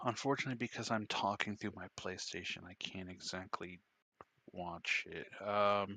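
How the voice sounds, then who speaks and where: Bright and sharp in tone, a man with a fairly low pitch speaks at a moderate pace with fairly even intonation over a quiet background. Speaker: tabletop game player. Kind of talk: casual tabletop game session. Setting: online voice chat. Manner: halting, stuttering.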